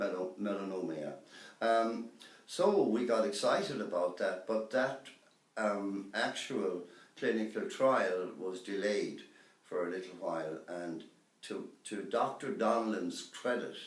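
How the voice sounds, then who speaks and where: With a western Irish accent, a man speaks at a fairly low pitch and fairly slow pace with ordinary pitch variation, amid noticeable background noise and audible room echo. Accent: Irish (west of Ireland). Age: 60s. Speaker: cancer patient. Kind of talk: testimony. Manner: hesitant, many fillers.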